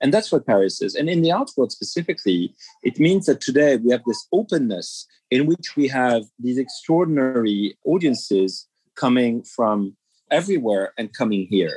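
A man with a French accent, medium pitch and very wide pitch swings, at a moderate pace, in a dry, close sound with no echo. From France. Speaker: museum executive. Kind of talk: interview. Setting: cafe.

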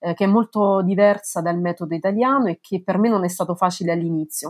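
At a fairly quick pace with ordinary pitch variation, the voice sounds dry and close with no echo over a quiet background. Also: woman. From Italy, Lazio (province of Frosinone, near Cassino). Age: 30s. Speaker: legal historian, researcher. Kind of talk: interview. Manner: halting, with many repetitions.

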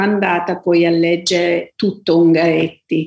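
A woman talks very slowly in a medium register. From Abruzzo, Italy. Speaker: author, novelist. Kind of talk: interview, reflective talk about books and writing. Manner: hesitant, thoughtful, with frequent fillers.

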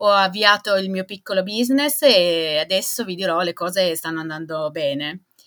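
A woman with an ordinary speaking voice talks at medium pitch and a moderate pace with lively intonation, on a very clean recording with a silent background. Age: 40s. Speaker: small business owner. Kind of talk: testimony.

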